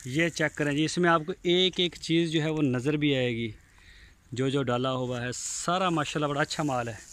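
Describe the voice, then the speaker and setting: In a plain, everyday voice, a man talks at a moderate pace with a fairly high pitch, ordinary pitch variation and a dry sound with no echo. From Pakistan, Punjab (Bahawalpur district); Punjab, Pakistan. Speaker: cattle farmer and vlogger. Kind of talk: walkthrough video tour with sales pitch. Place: farm. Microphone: phone near.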